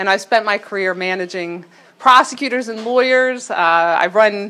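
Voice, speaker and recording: The speaker has an American accent. The tone is bright and sharp. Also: woman, medium pitch for a woman, ordinary pitch variation, moderate pace. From Baltimore, Maryland. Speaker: mayoral candidate, former prosecutor. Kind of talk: campaign speech.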